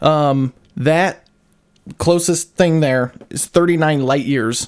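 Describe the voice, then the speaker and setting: Quietly and fairly slowly, a man speaks in an American accent with a fairly high pitch and fairly even intonation. The recording is very clean, with a silent background. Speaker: podcast co-host. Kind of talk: casual chat.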